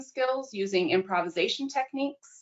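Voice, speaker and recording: In an American accent, a woman with an ordinary speaking voice talks at a moderate pace with lively intonation. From United States. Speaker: innovation manager and speech coach. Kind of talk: webinar panel introduction.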